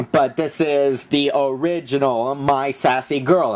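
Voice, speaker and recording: A man talks over noticeable background noise. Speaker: vlogger reviewing his DVD collection. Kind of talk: casual video review. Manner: fast; animated.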